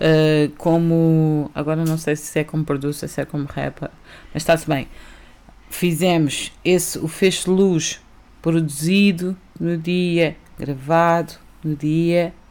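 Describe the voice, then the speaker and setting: A woman speaks very slowly in a monotone, flat intonation. She leaves long, frequent pauses. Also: fairly low pitch for a woman. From Algarve, Portugal (early childhood in Lisbon). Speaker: rapper. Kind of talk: casual interview.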